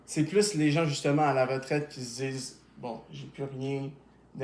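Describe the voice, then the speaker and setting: Audible room echo surrounds a man at medium pitch. He keeps a moderate pace and fairly even intonation. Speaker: YouTuber. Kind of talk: casual interview.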